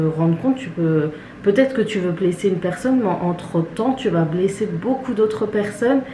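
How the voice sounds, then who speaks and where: Amid noticeable background noise and audible room echo, a woman with a medium pitch speaks at a moderate pace. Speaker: beauty and family vlogger. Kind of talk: casual vlog monologue. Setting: at home, kitchen. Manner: hesitant, many fillers.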